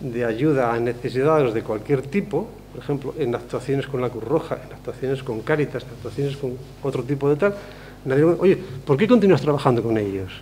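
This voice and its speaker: A man with an unremarkable speaking voice talks at a moderate pace, fairly high in pitch, with ordinary pitch variation. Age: 60s. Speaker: speaker at a convention. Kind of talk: public talk. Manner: conversational, with fillers.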